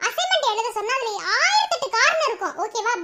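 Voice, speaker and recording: A woman's cartoonish character voice, squeaky and extremely high in pitch, with ordinary pitch variation at a moderate pace. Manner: scolding, lecturing.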